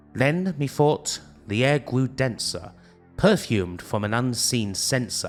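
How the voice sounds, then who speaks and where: A man delivers his lines in a dramatic, theatrical tone at a very slow pace, with ordinary pitch variation. Music plays behind him. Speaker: retrogaming YouTuber reading a poem for a show. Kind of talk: dramatic poetry reading. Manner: dramatic, theatrical, spooky.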